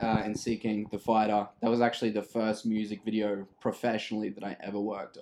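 An Australian-accented man with fairly low pitch talks at a fairly quick pace with hardly any pauses, his intonation monotone and flat. His loudness swings widely. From Brisbane, Australia. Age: 20s. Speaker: videographer and music producer. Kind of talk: casual chat.

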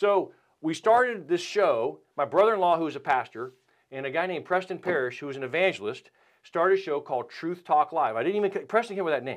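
A man's high voice racing at a very fast pace, lively in intonation, over a quiet background. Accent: North Carolina. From North Carolina (Winston-Salem). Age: 50s. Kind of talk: casual chat.

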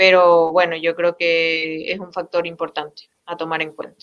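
A woman's medium-pitched voice with a bright, sharp tone and a fairly slow pace. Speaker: football coach. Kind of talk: interview.

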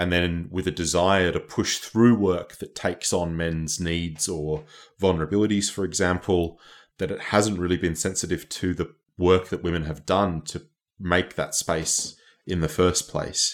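In a very clean recording with a silent background, a man with an Australian accent speaks at a moderate pace and a very deep, low pitch in a monotone, flat intonation. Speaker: academic activist. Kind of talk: interview.

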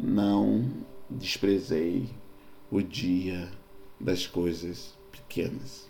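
A man's very deep, low voice in a Rio de Janeiro accent, at a very slow pace with long, frequent pauses, ordinary pitch variation and audible room echo. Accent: Carioca Brazilian Portuguese. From Rio de Janeiro, Brazil. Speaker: pastor. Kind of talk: sermon-style podcast monologue.

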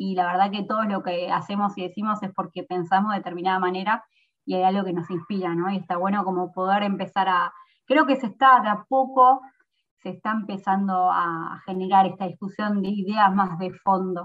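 Fairly even intonation and a fairly quick pace mark a normal speaking voice. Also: woman. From Argentina, San Miguel (Buenos Aires province). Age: 20s. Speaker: provincial legislator. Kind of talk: interview.

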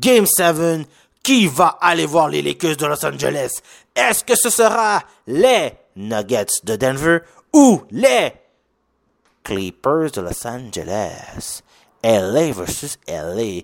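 Speaking at a very slow pace with long, frequent pauses, a man uses a fairly high pitch and very wide pitch swings in a very clean recording with a silent background. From Quebec, Haitian family. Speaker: sports podcast host. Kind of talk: casual solo sports commentary. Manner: halting, many fillers; animated, with lots of English slang.

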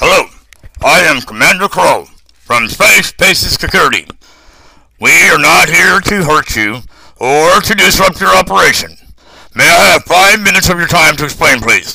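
A man speaks at a moderate pace. His speech has long, frequent pauses. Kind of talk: military briefing. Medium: audio drama. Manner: formal, measured, blunt.

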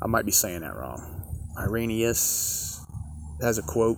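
Someone talks at a very slow pace, with audible room echo and noticeable background noise. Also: man. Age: 50s. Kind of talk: casual devotional monologue. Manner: halting, many fillers.

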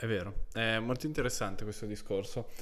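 Amid audible room echo, a man talks with fairly even intonation. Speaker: podcast host. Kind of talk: interview.

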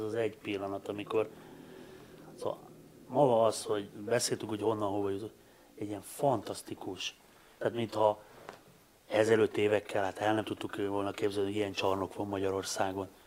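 Speaking at a fairly quick pace yet with long, frequent pauses, a man keeps a fairly low pitch and monotone, flat intonation. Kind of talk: casual chat.

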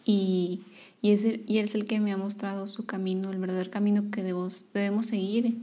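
A woman at a medium pitch with monotone, flat intonation. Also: moderate pace. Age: 20s. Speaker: podcaster sharing faith testimony. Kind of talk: personal testimony. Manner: halting, many fillers.

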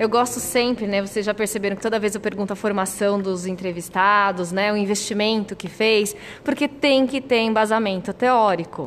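A woman of medium pitch speaks with hardly any pauses and ordinary pitch variation. Noticeable background noise can be heard. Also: moderate pace. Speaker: podcast host, nurse. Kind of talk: interview. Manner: animated.

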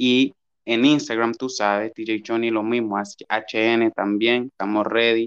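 A man talks at a medium pitch and a very slow pace. His intonation is flat and monotone. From Honduras, Gracias a Dios department. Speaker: musical artist. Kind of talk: casual interview.

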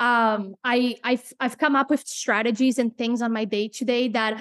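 A woman's high voice in a Portuguese accent, at a moderate pace, with a dry, close sound and no echo. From Brazil. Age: 30s. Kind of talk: interview. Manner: halting.

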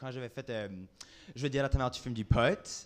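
A man's fairly high-pitched voice in an Acadian accent. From Acadia, New Brunswick. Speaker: drag queen. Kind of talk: casual chat. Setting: stage with audience.

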